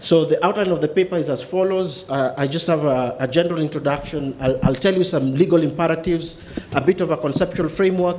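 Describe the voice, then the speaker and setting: Talking at a very fast pace with hardly any pauses, a man with a high pitch keeps a fairly even intonation amid audible room echo and noticeable background noise. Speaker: legal researcher and lecturer. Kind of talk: academic paper presentation. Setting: conference hall with audience.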